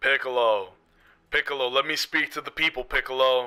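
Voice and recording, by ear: Putting on a character voice, a man talks at a fairly quick pace in a medium pitch.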